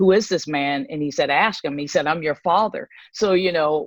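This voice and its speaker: In an American accent, a woman with a very deep, low pitch talks at a moderate pace with ordinary pitch variation, her voice dry and close with no echo against a quiet background. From Pennsylvania, US. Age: 60s. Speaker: ministry leader sharing her testimony. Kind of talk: testimony.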